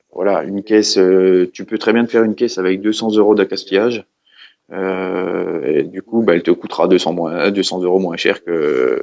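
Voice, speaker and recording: In a Franche-Comté accent, a man talks at a moderate pace. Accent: Franche-Comté regional French. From eastern France, Franche-Comté (Haute-Saône). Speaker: custom snare drum maker. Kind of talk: casual interview chat. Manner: hesitant, many fillers and repetitions; casual, informal.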